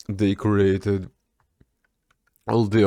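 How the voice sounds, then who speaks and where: A man speaks in a Russian accent at a fairly low pitch. His pace is very slow and his intonation monotone and flat. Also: dry, close sound with no echo. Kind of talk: casual talk to camera. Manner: rambling, stammering.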